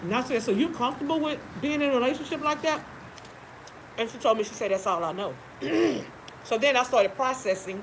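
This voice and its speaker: A woman's animated, fairly high-pitched voice at a very fast pace with lively intonation, over noticeable background noise. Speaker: live-stream host. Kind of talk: casual chat. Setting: live stream.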